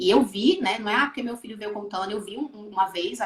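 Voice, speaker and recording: Noticeable background noise accompanies a woman whose pitch is fairly high. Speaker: maternal coach and emotional educator. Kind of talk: live video interview.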